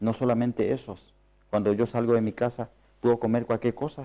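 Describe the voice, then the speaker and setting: With a non-native accent, a man speaks in a dark, mellow tone. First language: not Spanish (speaking Spanish). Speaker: preacher. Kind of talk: sermon. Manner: halting.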